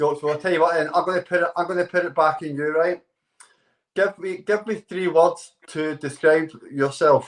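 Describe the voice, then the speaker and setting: With a high pitch, the man speaks in fairly even intonation. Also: moderate pace. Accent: Scottish. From Scotland. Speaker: dating show contestant. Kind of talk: casual chat.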